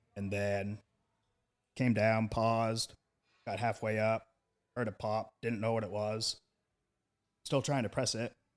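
Over a silent background in a very clean recording, a man of medium pitch speaks at a moderate pace in a flat monotone. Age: 30s. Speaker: powerlifter and state representative. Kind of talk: casual chat.

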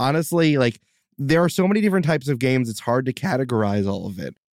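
A plain, everyday voice from a man at medium pitch carries lively intonation, heard as a dry, close sound with no echo on a very clean recording with a silent background. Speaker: game master and podcast producer. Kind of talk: casual chat.

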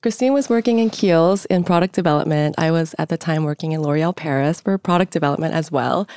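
A woman with a Korean accent talks at a very fast pace with hardly any pauses, her fairly low voice dark and mellow, her intonation lively and her loudness very even, in a very clean, dry, close recording with no echo and a silent background. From Seoul, South Korea. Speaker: beauty brand founder. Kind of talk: interview.

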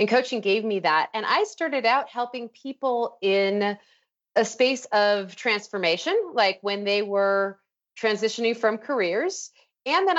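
Speaking in a normal speaking voice with an American accent, a woman pitched fairly high uses lively intonation. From Chicago. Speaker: life coach. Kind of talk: casual interview chat.

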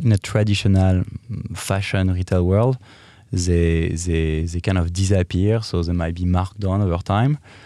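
A man with a French accent, a very deep, low pitch, a dark, mellow tone and fairly even intonation. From France, Paris. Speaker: lingerie company executive. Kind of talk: interview. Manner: halting.

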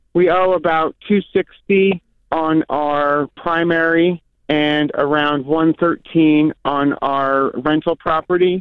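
Speaking with an American accent at a very slow pace, the voice stays monotone and flat, with very even loudness throughout. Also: man, fairly high pitch for a man. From New York. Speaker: caller. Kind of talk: call-in question. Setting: phone call. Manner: halting.

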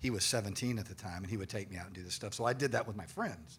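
A man with an American accent speaks with ordinary pitch variation, and room echo can be heard. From Austin, Texas. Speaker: retired police officer and paranormal investigator. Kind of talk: live panel discussion. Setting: stage with audience.

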